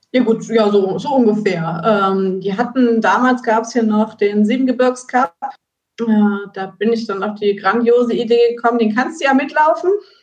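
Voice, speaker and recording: A woman's fairly high voice, a plain, everyday voice, with ordinary pitch variation at a moderate pace. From Germany, Rhineland between Siebengebirge and Westerwald. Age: 30s. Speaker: amateur trail runner, race winner. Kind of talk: podcast interview.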